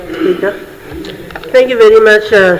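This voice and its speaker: Noticeable background noise behind speech of moderate speed. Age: 80s+. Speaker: government minister. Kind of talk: parliamentary answer. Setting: parliament chamber.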